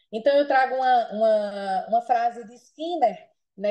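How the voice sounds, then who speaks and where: A woman speaks in a normal speaking voice. Her pace is fairly slow and her pitch variation ordinary. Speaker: panelist, public health service coordinator. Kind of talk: webinar presentation.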